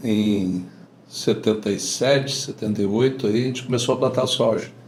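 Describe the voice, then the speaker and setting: This man talks at a fairly slow pace in a medium pitch with ordinary pitch variation. Audible room echo surrounds the recording. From southern Brazil, Rio Grande do Sul (Lagoa Bonita do Sul). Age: 60s. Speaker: farmer. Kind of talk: casual interview.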